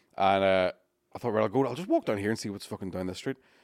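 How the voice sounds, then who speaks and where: A man with a fairly low pitch talks very fast in an animated tone, his dry, close sound free of echo on a very clean recording with a silent background. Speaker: podcast host. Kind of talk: casual banter chat. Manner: animated, joking.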